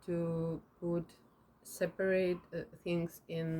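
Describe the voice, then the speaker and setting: A woman's fairly low voice with monotone, flat intonation and a Ukrainian accent. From Ukraine. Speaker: interviewer and video maker. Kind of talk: interview questions. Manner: halting.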